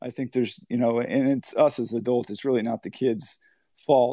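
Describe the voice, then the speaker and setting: A man with an American accent, dark and mellow in tone, at a fairly quick pace, dry and close with no echo against a quiet background. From Humboldt County, Northern California. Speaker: college baseball head coach. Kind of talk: interview.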